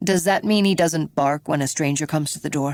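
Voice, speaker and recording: A woman puts on a raspy character voice with a very deep, low pitch and ordinary pitch variation, talking at a fairly quick pace. The recording is very clean, with a silent background. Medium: read story. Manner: calm, probing.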